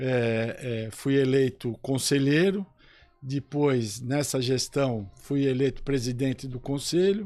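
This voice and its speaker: Speaking at a very slow pace, a man has a medium pitch and a dark, mellow tone. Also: ordinary pitch variation. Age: 60s. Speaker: police chief and sports club councillor. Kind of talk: radio interview.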